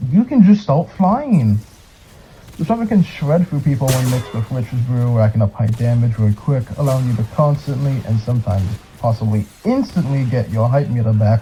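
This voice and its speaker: A medium-pitched man at a moderate pace with lively intonation, over noticeable background noise. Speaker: gaming video narrator. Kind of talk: scripted narration. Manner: sped up; casual, halting.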